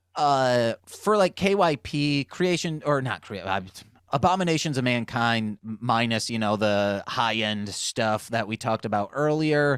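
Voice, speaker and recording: Recorded very cleanly against a silent background with a dry, close sound and no echo, a man with an unremarkable speaking voice and an American accent talks at a medium pitch and a fairly slow pace with lively intonation. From Michigan, US (Muskegon). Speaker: rapper and music producer. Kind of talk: casual podcast chat.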